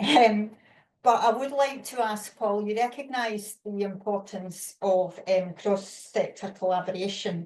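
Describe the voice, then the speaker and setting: A woman with a Scottish accent speaks at a fairly slow pace. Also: medium pitch for a woman, ordinary pitch variation. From Scotland. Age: 50s. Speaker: webinar moderator. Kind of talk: panel discussion.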